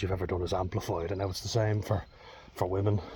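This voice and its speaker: A somewhat breathy man at a very fast pace, fairly low in pitch. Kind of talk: casual talk to camera. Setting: outdoors.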